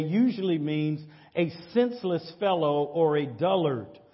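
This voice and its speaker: Audible room echo trails a man who speaks at a moderate pace with a high pitch and lively intonation. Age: 50s. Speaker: pastor. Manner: earnest, repetitive preacher cadence with stammered restarts and 'say amen' calls; conversational and direct, addressing the congregation.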